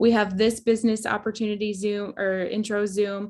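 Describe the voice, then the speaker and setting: A woman talks at a moderate pace. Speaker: network marketing team leader. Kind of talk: training webinar. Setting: video call with screen share. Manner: casual, filler-heavy.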